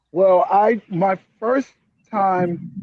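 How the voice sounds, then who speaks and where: An American accent with ordinary pitch variation. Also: man. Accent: New York, as heard in Florida. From New Jersey, near New York. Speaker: writer and comedian. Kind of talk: casual video call interview.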